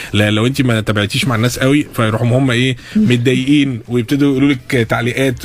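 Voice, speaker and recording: Hardly pausing at all, a man speaks at a very fast pace with medium pitch and fairly even intonation. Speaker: radio host. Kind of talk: radio interview hosting. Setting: studio. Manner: casual, joking.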